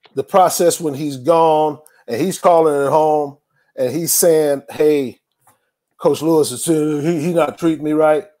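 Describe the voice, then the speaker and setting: A man's normal speaking voice, fairly high in pitch, with fairly even intonation and a fairly slow pace. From Tucson, Arizona. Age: 50s. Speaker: college football coach. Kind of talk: casual interview.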